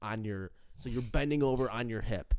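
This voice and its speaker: The recording is very clean with a silent background as a man with a normal speaking voice talks at a medium pitch with ordinary pitch variation. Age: 20s. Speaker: college student. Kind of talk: casual chat.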